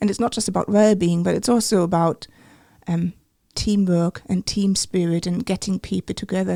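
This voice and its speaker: A woman with a German accent speaks fairly quickly at medium pitch, her dark, mellow tone showing ordinary pitch variation, in a very clean recording with a silent background and a dry, close sound with no echo. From Germany. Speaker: medical imaging researcher. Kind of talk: interview.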